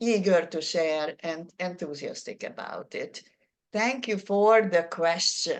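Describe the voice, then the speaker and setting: With a Hungarian accent, a woman speaks at a fairly slow pace. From Hungary. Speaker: public speaking presenter. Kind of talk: workshop Q&A.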